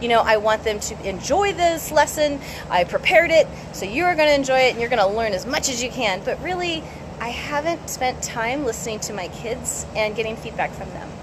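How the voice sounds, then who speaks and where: A high-pitched woman talks at a fairly quick pace with lively intonation. Noticeable background noise runs underneath. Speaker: science educator and homeschool curriculum creator. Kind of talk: casual live stream talk. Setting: Facebook live video. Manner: fast.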